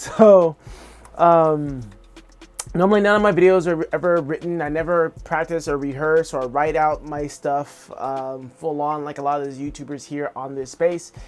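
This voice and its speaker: Background music accompanies speech delivered at an average speed. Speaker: art vlogger and streamer. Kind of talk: casual vlog monologue. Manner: halting, many fillers; unconfident.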